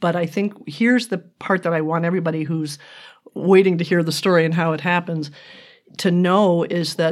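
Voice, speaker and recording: A woman with an ordinary speaking voice talks at a fairly low pitch. Her pitch variation is ordinary. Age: 60s. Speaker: retired marketing executive, podcast guest. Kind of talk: casual interview chat. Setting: sharing one microphone with host.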